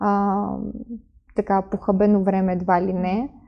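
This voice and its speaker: A woman is speaking. Her pace is fairly slow. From Ukraine, Kyiv. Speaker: influencer and entrepreneur. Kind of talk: interview.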